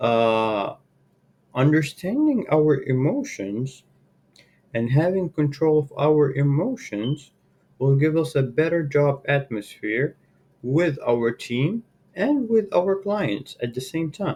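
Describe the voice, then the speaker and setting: Somewhat breathy and dark, mellow in tone, a man speaks at a very slow pace with lively intonation. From Saudi Arabia. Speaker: sales and marketing manager. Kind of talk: workplace presentation. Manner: hesitant, many fillers.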